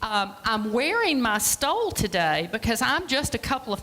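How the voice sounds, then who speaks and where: At a moderate pace, a woman talks while noticeable background noise plays around her. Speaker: free clinic director, guest speaker. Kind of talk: church presentation talk. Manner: loud.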